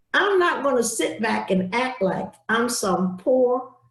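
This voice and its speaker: The voice moves at a fairly slow pace with ordinary pitch variation. Room echo is audible. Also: woman. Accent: American. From US South. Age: 80s+. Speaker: civil rights activist. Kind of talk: speech. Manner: emphatic.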